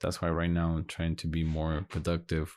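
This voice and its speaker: The background stays quiet as the man talks in a very deep, low pitch. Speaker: podcast host. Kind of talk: solo podcast monologue. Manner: halting.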